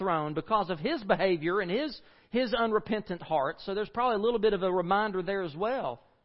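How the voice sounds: Someone reads in a natural voice, with ordinary pitch variation.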